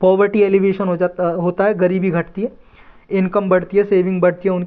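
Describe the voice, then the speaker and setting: A high-pitched male voice with monotone, flat intonation. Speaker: teacher. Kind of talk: lecture. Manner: casual, conversational.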